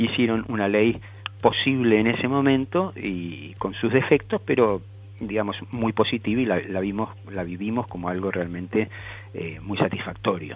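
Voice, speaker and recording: Music in the background behind a man's fairly low voice, moderate in pace, with ordinary pitch variation. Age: 60s. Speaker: celiac advocacy group member. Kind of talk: radio interview. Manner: halting.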